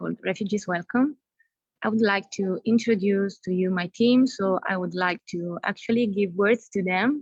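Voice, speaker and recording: A woman speaks at a moderate pace in an Italian accent, her somewhat breathy voice at a medium pitch with ordinary pitch variation and a dry, close sound with no echo. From Italy. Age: 30s. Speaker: youth exchange group leader. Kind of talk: casual chat.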